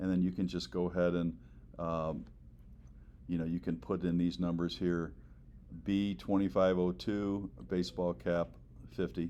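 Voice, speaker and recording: At a moderate pace broken by long, frequent pauses, a man speaks with a very deep, low pitch, ordinary pitch variation and very even loudness. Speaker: teacher. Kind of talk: tutorial.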